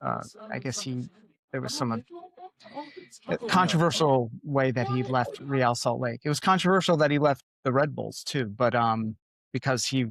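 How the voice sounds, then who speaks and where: A man with a plain, everyday voice speaks at a medium pitch and a fairly slow pace. His ordinary pitch variation comes through in a dry, close sound with no echo. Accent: American. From Connecticut, US. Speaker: podcast host, former print journalist. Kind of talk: casual interview chat.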